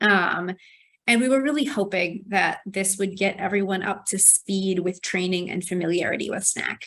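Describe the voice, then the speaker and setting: With a plain, everyday voice, a woman speaks at a moderate pace, her medium pitch showing ordinary variation. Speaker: archivist, library manuscripts section head. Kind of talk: conference presentation.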